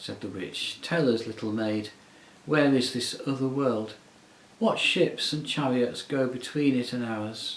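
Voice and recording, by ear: Pitch varies in an ordinary way. The delivery is reading aloud in a natural voice.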